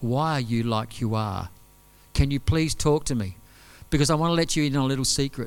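At a fairly quick pace, a man talks in a medium pitch with ordinary pitch variation. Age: 50s. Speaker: visiting preacher. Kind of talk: sermon. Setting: church service with audience.

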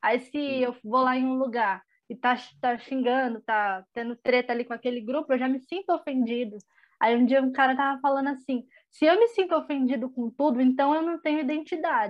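A high female voice at a moderate pace with ordinary pitch variation. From Espírito Santo, Brazil. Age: 20s. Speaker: young church member. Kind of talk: casual chat.

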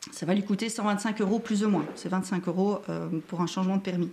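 Noticeable background noise sits behind a woman's voice. She speaks at a fairly slow pace with ordinary pitch variation. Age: 40s. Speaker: driving instructor. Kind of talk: live-stream interview. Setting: Facebook live stream.

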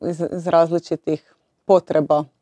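A dark, mellow tone with monotone, flat intonation and a dry, close sound free of echo. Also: woman. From Croatia, Split (Dalmatia). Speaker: former tennis player, sports director. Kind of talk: interview.

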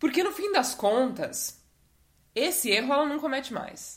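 Speaking at a moderate pace, a woman uses a high, animated voice with lively intonation. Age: 20s. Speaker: podcast host. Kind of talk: casual monologue.

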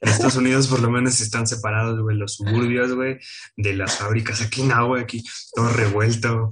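Monotone and flat in intonation, a man at medium pitch talks at a fairly quick pace. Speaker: podcast co-host. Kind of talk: casual chat.

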